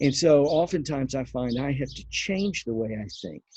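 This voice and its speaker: A man speaks in a dark, mellow, somewhat breathy tone. He goes at a fairly slow pace against a quiet background. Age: 60s. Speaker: bible teacher. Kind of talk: devotional teaching. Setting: outdoors on back patio. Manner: halting.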